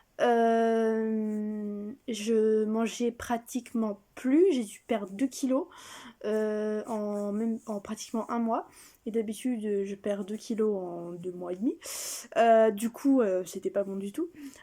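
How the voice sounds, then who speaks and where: Over a very clean recording with a silent background, a woman speaks very slowly in a dark, mellow tone at a fairly high pitch with ordinary pitch variation. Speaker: vlogger. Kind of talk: casual vlog. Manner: hesitant, many fillers.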